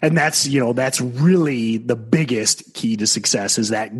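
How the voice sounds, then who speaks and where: Here a man with a normal speaking voice talks at a moderate pace, medium in pitch with ordinary pitch variation. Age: 40s. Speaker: trading podcast host. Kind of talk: casual chat.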